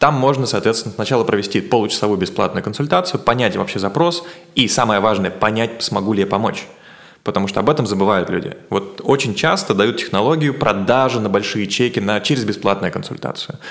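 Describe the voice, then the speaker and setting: Noticeable background noise sits behind a man talking at a fairly quick pace, his pitch fairly low and varying in an ordinary way. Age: 30s. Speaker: marketer and producer. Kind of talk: interview conversation.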